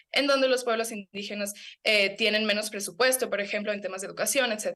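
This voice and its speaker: This woman's pitch is fairly high. She speaks at a very fast pace. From Ecuador, Amazon (Sarayaku). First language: Kichwa (speaking Spanish). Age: young. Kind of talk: radio/TV interview. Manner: animated, some stammering.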